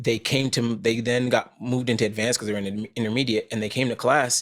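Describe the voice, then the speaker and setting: With an American accent, a man talks at a very fast pace in a medium pitch, his intonation fairly even. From Vermont, US (born Trinidad and Tobago). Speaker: actor and former marine. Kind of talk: podcast interview. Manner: casual, with fillers.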